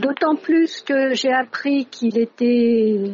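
A woman's high-pitched voice. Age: 60s. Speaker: retired French teacher. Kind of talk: interview.

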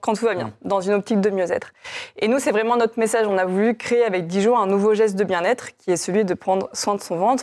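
A woman talks in a plain, everyday voice at a medium pitch, with fairly even intonation and a fairly quick pace. The recording is very clean, with a silent background. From France, Chinon (Indre-et-Loire). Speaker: company co-founder. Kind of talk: interview.

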